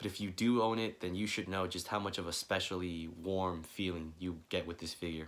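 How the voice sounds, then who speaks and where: With fairly even intonation, the words unfold at a moderate pace. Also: man. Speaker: toy figure collector and customizer; collector vlogger. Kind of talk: casual review talk to camera. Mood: relaxed, warm. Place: home room. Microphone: phone near.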